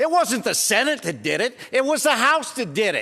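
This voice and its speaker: With an American accent, a man delivers a passionate, bright, sharp tone in a raised, projected voice, moving at a moderate pace with lively intonation. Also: quiet background. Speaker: state senator. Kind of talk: legislative floor speech, impassioned. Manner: passionate, raised voice, indignant.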